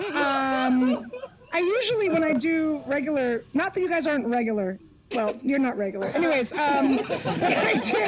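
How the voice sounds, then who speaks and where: A high-pitched woman with lively intonation and very even loudness, moderate in pace, over noticeable background noise. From former Soviet Union. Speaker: stand-up comedian. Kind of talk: stand-up.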